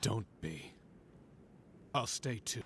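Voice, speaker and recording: Amid clear background noise, a man performs a put-on character voice at a medium pitch. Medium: machinima. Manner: terse, blunt.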